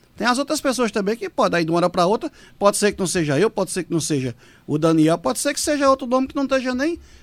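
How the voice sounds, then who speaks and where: The voice moves at a very fast pace with very wide pitch swings. The recording is very clean, dry and close, with a silent background and no echo. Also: man. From Pernambuco sertão, Brazil. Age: 40s. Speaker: city councillor. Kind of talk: radio interview. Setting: studio.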